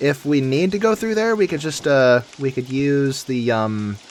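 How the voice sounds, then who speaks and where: Over noticeable background noise, a man at a medium pitch lets his pitch swing very widely. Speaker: video game streamer. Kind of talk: gameplay commentary. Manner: casual, thinking aloud.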